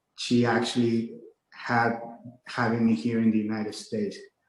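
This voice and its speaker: This speaker is a man. He talks with a Mexican accent. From Mexico-US border, Nuevo Laredo / Laredo, Texas. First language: Spanish. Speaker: real estate agent and motivational speaker. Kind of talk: interview.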